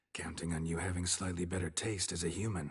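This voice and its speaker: In a put-on character voice, a man rasps at a very fast pace with a very deep, low pitch and monotone, flat intonation. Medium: video game. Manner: terse, clipped sentences.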